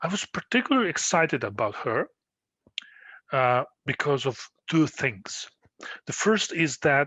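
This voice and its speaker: Speaking fairly slowly, a man has a non-native accent. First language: not English. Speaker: postdoctoral researcher. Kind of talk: tutorial. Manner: halting, many fillers.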